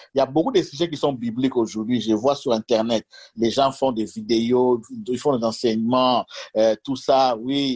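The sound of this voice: A man speaks at a medium pitch and moderate pace, his slightly mellow tone carrying a slightly husky edge and ordinary pitch variation, in a dry, close sound with no echo.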